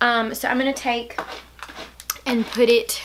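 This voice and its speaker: A woman's high voice in an American accent, very slow, over noticeable background noise. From Alabama, US South. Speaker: beauty vlogger. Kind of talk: makeup tutorial. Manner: casual, chatty.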